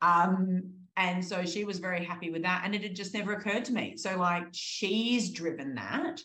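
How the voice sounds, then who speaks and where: A woman speaks at a moderate pace with an Australian accent, her pitch medium and its variation ordinary. There's audible echo from the room, and she hardly pauses at all. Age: 30s. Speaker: exercise physiologist. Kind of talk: interview.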